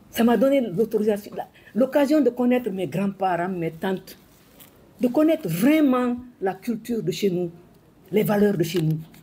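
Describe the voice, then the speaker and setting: A woman's fairly high, somewhat breathy voice with a dark, mellow tone, lively intonation and long, frequent pauses. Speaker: former minister and educator. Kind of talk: speech to an audience. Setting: hall with audience. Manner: fast.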